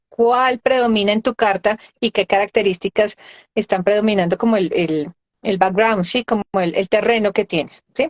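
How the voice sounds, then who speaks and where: A woman with an unremarkable speaking voice, fairly high in pitch, with ordinary pitch variation and a fairly quick pace. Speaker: integrative physician and medical astrologer. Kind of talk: live interview explanation.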